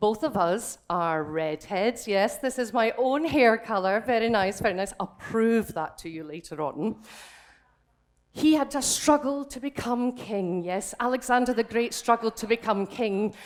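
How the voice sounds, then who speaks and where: In a Scottish accent, a woman speaks fairly slowly with a fairly high pitch, lively intonation and an animated tone. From Scotland. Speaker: drag king comedian. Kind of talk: stand-up. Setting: stage with audience.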